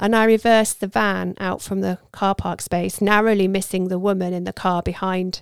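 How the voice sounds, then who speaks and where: A woman with a British accent speaks at a moderate pace in a warm, dramatic tone. The sound is dry and close with no echo, and the recording is very clean over a silent background. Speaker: audiobook narrator. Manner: measured, storytelling pace, warm and intimate, with light dramatic emphasis on dialogue.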